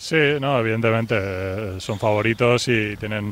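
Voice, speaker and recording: Moderately paced, a man of medium pitch speaks in an ordinary speaking voice. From Valencia, Spain. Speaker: professional basketball player. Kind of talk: radio interview.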